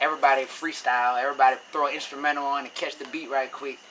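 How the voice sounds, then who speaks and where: A very fast man with an American accent, fairly high in pitch, over noticeable background noise. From New Orleans, Louisiana, US South. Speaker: rapper. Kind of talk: interview. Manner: casual, conversational.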